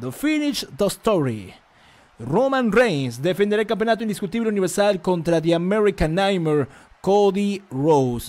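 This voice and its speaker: A man is shouting in a high pitch with an animated tone. His pitch swings very widely. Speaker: live stream commentator. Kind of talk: live wrestling commentary. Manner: fast, excitable play-by-play, rapid-fire action calls; animated, repetitive, shouting hype. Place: home room. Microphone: studio mic.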